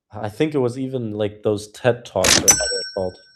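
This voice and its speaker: A man with a German accent. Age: 20s. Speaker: cold email community co-host. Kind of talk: live community video call, casual.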